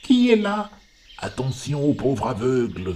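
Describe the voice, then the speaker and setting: A man does a put-on character voice at a fairly slow pace. His medium-pitched voice swings very widely in pitch. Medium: read story. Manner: faint, murmuring.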